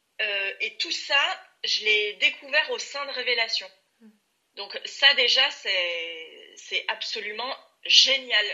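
Very slow delivery with lively intonation and big swings in loudness. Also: woman, high pitch for a woman. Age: 30s. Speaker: career changer, coaching client. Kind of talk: testimonial interview. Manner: hesitant, many filler sounds.

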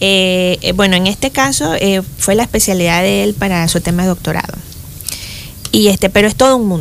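With noticeable background noise behind her, a woman speaks at a moderate pace and medium pitch, her pitch varying in an ordinary way. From Panama, Boquete (Chiriquí). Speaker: engineering professor. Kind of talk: interview.

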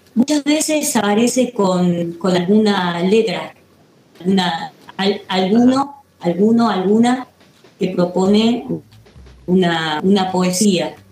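Over noticeable background noise, a woman speaks very slowly, her loudness very even throughout. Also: medium pitch for a woman, lively intonation. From Córdoba, Argentina. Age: 50s. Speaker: actress and musician, theater teacher. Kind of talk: interview. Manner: hesitant, many fillers.

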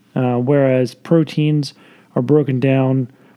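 At a fairly slow pace, a man speaks with an unremarkable speaking voice at a medium pitch. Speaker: podcast host. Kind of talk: casual chat. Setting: home recording with snoring pug.

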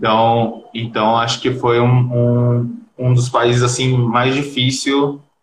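Very slowly and with hardly any pauses, a man speaks at medium pitch in a somewhat breathy, monotone voice whose loudness stays very even. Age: 20s. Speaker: digital marketing freelancer. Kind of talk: casual live-stream interview. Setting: video call from Brazil.

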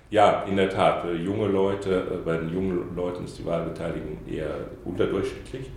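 Over noticeable background noise and audible room echo, a man speaks in a very deep, low voice with ordinary pitch variation. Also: moderate pace. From Saarland, Germany. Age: 50s. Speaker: diplomat. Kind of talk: interview. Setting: in-person interview on camera. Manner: hesitant with many fillers.

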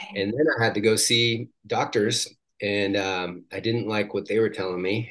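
An unremarkable speaking voice with an American accent talks at a moderate pace. The intonation is fairly even and the background is quiet. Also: man. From Washington State. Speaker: life coach and healer. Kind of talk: guided visualization; casual interview.

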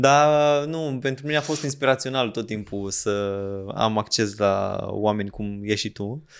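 A man talks at a medium pitch with ordinary pitch variation, in a normal speaking voice. The recording is very clean, with a silent background. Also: fairly slow pace. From Romanian provinces. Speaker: podcast host. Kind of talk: casual chat.

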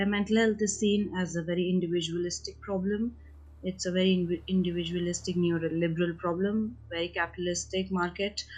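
A woman speaks at a fairly quick pace in a fairly low pitch, somewhat breathy. Her intonation stays monotone and flat. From India. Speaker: activist and social worker. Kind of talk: interview about personal experience.

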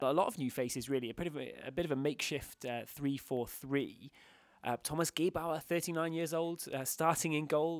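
Recorded very cleanly over a silent background, a man with an English accent speaks at a fairly quick pace, his fairly high pitch showing ordinary variation. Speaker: football podcast host. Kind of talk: casual chat. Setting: hotel room.

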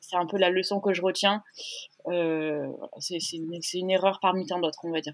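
The intonation stays fairly even. Long, frequent pauses break up the speech. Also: woman, fairly low pitch for a woman, moderate pace. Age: 20s. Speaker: startup founder. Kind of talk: interview testimony. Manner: hesitant, many fillers.

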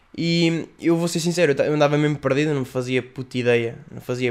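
A man speaks at a very fast pace in a European Portuguese accent. His pitch variation is ordinary. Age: 20s. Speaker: YouTuber and podcast host. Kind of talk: casual solo podcast monologue.

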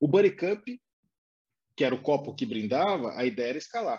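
His pace is moderate. This man's pitch ranges very widely. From Brazil, interior of São Paulo state. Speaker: advertising professional and studio co-founder. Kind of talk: interview.

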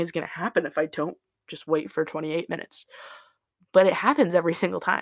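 In an American accent, the speech moves fairly quickly, captured on a very clean recording against a silent background. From Indiana. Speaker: podcaster. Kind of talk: casual solo monologue. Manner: halting, many fillers and laughs.

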